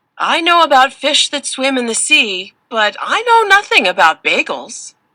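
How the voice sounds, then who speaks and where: Using a put-on character voice, a woman speaks in a high pitch with very wide pitch swings at a moderate pace. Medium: read story.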